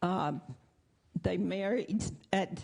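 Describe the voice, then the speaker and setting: Dark and mellow, a woman's voice carries a Southern US accent and vocal fry. She talks at a very slow pace. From US South, Arkansas. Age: 80s+. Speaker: congregation member. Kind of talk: testimony. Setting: church.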